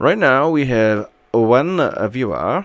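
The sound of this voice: A man talks in a clear, smooth tone with ordinary pitch variation.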